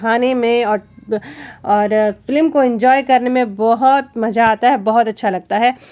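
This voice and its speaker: A woman speaks loudly at a high pitch. Her pitch varies in an ordinary way. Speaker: teacher. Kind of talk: lesson explaining a textbook chapter.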